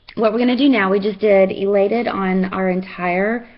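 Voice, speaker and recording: A woman speaks with a Texan accent at a moderate pace. Her pitch is medium, with ordinary pitch variation. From Texas. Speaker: makeup seller and fitness instructor. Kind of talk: makeup tutorial. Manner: casual, chatty with many fillers.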